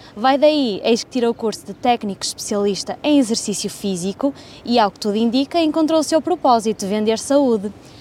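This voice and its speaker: Noticeable background noise sits behind a woman at a high pitch. She speaks at a moderate pace. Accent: European Portuguese. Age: 20s. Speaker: podcast host. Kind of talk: scripted narration.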